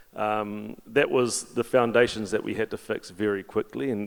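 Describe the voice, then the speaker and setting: Monotone, flat intonation in a New Zealand accent at a moderate pace. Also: man. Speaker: fintech executive, panelist. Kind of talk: panel discussion. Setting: stage with audience.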